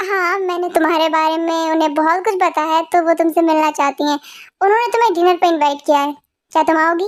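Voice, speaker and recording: A woman uses a put-on character voice with an extremely high pitch. She talks at a fairly quick pace with fairly even intonation. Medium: fan dub. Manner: persuasive, pushy.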